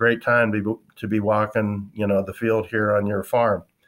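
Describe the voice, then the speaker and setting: Over a quiet background, a man at medium pitch talks fairly slowly in an American accent. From US Midwest, western South Dakota. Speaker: farmer and landlord. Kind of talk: interview. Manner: hesitant, many fillers.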